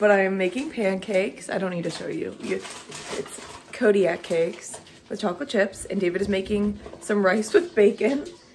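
A woman speaks at a moderate pace with few pauses, her pitch medium and varying in an ordinary way. Her tone is slightly mellow, and faint background noise can be heard.

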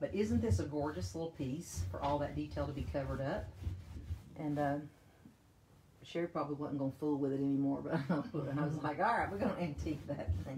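A woman talks at a fairly quick pace with a very deep, low pitch, very wide pitch swings, vocal fry and a dark, mellow tone. Noticeable background noise can be heard. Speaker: paint company presenter demonstrating products. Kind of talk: live-stream tutorial. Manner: speaking up loudly for the stream. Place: home room. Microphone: phone near.

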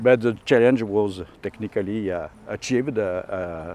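A man with a French accent talks at a moderate pace with lively intonation. The sound is dry with no echo. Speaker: astrophysicist. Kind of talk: interview answer. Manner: hesitant, many filler sounds. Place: garden.

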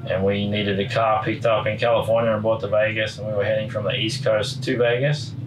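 A man with an Australian accent races along very fast with hardly any pauses and fairly even intonation, amid noticeable background noise. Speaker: motorcycle racer. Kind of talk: casual chat.

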